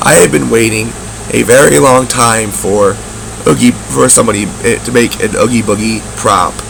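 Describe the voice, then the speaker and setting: There's noticeable noise behind the voice. The speaker is a man. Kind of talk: casual talk to camera, product review.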